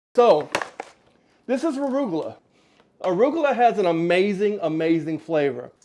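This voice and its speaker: The delivery has an animated tone and a moderate pace, broken by long, frequent pauses. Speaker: cooking show host. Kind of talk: cooking tutorial. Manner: loud.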